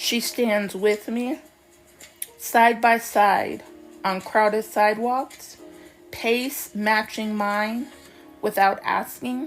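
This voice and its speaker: Over music in the background, a woman speaks at a very slow pace with long, frequent pauses. Her fairly high pitch stays in fairly even intonation. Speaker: poet. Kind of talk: poetry reading.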